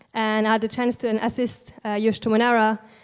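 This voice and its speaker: Pitched fairly high, a woman speaks in a French accent. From France, Alsace. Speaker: artist. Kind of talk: panel talk. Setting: stage with audience.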